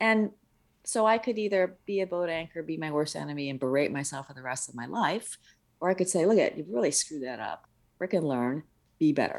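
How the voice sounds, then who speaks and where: A woman with an American accent and a fairly low voice uses lively intonation, her loudness rising and falling widely. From upstate New York, US. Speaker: communication consultant. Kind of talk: interview.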